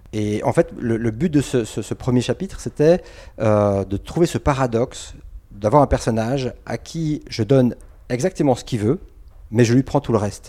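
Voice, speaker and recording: At a moderate pace, a man's dark, mellow voice sits at a medium pitch with ordinary pitch variation on a very clean recording with a silent background. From Switzerland, Geneva. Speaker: comic book author. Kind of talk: interview. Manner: halting.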